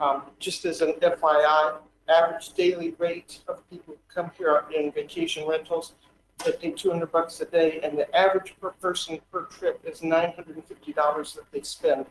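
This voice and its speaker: At a moderate pace, the speech shows big swings in loudness. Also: man. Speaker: public commenter, property rights advocate. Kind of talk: public comment at council meeting. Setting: council chamber microphone. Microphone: too far from the mic at first.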